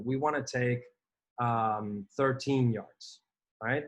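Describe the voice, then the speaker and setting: Very slow, somewhat breathy speech in a Spanish accent, with fairly even intonation. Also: man. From Spain. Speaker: gaming vlogger. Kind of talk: gameplay commentary. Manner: casual, hesitant with fillers.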